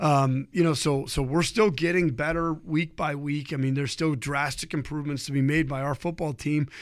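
A man with a normal speaking voice and an American accent, fairly high in pitch, at a moderate pace with hardly any pauses and fairly even intonation. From Ohio. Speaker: high school football coach. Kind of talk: interview.

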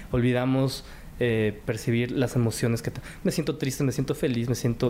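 In a dark, mellow tone, a man talks at a moderate pace and medium pitch with fairly even intonation. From Mexico. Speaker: cooking show winner and TV host. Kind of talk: interview testimony.

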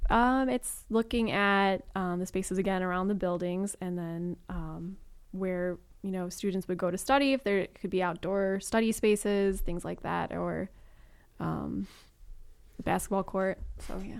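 On a very clean recording with a silent background, a woman with an American accent speaks at a fairly slow pace, her medium pitch held in fairly even intonation. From US Midwest, Chicago. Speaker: urban designer. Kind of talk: interview. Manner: hesitant, many ums.

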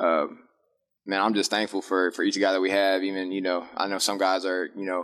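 At a very fast pace, a man talks with a fairly low pitch. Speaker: college football player. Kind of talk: press conference. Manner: halting, many filler words.

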